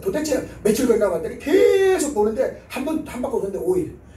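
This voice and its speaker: Over noticeable background noise and audible room echo, a man's voice swings very widely in pitch. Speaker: revival preacher. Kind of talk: sermon. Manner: fast.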